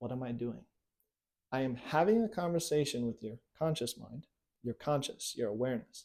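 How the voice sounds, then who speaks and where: Lively intonation from a man at medium pitch, moderate pace, with long, frequent pauses. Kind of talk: tutorial with hypnotic induction.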